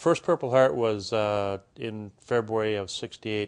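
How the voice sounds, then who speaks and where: A man speaks in an Upper Midwest accent at a moderate pace. His pitch is fairly low, and the background is quiet. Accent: Upper Midwest American. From Minnesota, Minneapolis area. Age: 50s. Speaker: war veteran. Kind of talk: interview testimony.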